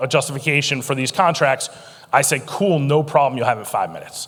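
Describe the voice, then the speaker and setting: With ordinary pitch variation, the words rush by at a very fast pace. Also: man. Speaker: conference speaker, former federal procurement official. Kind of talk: conference keynote talk. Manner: animated, witty.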